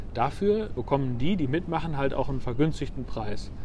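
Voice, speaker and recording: Audible room echo surrounds a man's voice. He speaks at a moderate pace with ordinary pitch variation. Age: 30s. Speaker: watch company founder. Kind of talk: interview. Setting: outdoors on a bench at the harbour.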